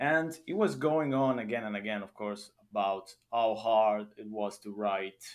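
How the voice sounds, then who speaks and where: A man speaks in an Italian accent. His intonation is lively. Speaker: podcast host. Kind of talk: casual interview chat.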